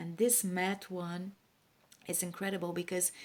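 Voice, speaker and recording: Against a silent background in a very clean recording, a woman talks at a fairly slow pace. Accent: non-native. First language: not English. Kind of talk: casual talk to camera.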